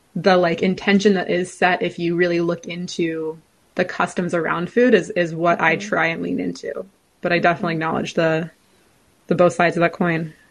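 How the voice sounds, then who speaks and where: A woman's fairly low-pitched, ordinary speaking voice with an American accent, fairly even intonation and a fairly quick pace. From California. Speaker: food studies researcher. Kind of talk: interview.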